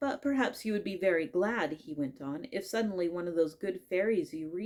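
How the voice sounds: Lively intonation in a natural reading voice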